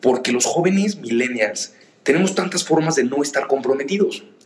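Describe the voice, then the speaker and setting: Over noticeable background noise, a man talks in a fairly high pitch with lively intonation. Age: 20s. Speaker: young entrepreneur, social organization founder. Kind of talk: interview conversation.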